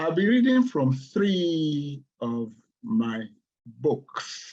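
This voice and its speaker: A man speaks in a Nigerian accent with a dark, mellow tone. His pitch varies in an ordinary way. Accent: Nigerian (Yoruba) English. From Nigeria, Yoruba-speaking west. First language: Yoruba. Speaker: poet and professor. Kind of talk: poetry reading introduction. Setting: video call.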